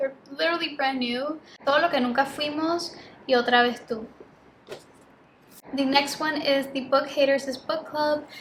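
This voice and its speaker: A high-pitched woman's voice with a Spanish accent, fairly slow in pace, with fairly even intonation. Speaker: book youtuber. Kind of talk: casual vlog chat. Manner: casual with many fillers.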